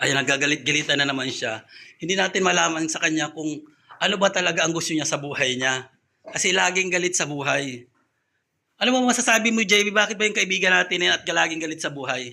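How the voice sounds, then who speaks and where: Racing at a very fast pace, a man speaks in a bright, sharp tone with vocal fry and lively intonation. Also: fairly high pitch for a man. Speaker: vlogger. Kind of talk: casual vlog chat. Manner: soft-spoken, keeping voice down.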